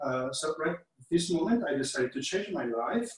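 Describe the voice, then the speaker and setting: His intonation is lively. The man's voice is high in pitch. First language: Italian. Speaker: chef. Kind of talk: online cooking class. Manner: halting.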